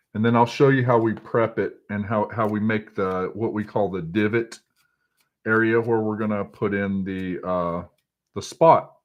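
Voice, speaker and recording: Using a Texas accent, a man speaks at a moderate pace with a fairly low pitch and fairly even intonation. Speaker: fly tier. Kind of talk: tutorial. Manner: halting.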